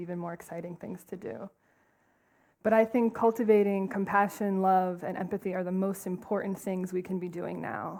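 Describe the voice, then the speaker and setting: Speaking at a fairly quick pace, a woman with an East Coast American accent keeps her intonation fairly even. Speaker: compassion trainer, nonprofit co-founder. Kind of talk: conference talk. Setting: stage with audience. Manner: fast.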